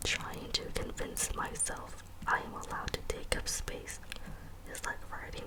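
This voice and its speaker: Someone whispers in a calm tone at a fairly slow pace, with noticeable background noise. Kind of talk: ASMR poetry reading. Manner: soft-spoken, calm.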